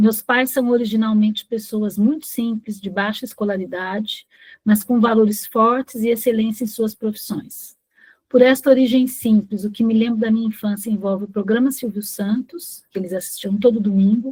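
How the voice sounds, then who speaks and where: The speaker, somewhat breathy and fairly even in intonation, talks at a moderate pace on a very clean recording with a silent background. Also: woman, fairly high pitch for a woman. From Brazil, interior of São Paulo state (Ribeirão Preto). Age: 60s. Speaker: retired bank employee, workshop participant. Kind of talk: reading aloud a personal life-story text.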